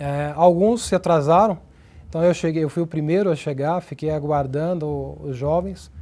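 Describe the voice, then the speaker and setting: A man's dark, mellow voice sits at a fairly high pitch with fairly even intonation. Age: 30s. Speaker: church member giving testimony. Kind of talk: testimony. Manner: halting.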